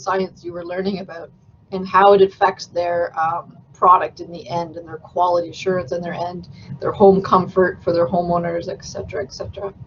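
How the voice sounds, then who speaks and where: Noticeable background noise sits behind a woman speaking at a moderate pace. Her medium-pitched voice has big swings in loudness. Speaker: building industry consultant. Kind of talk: guest lecture. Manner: casual, with many fillers.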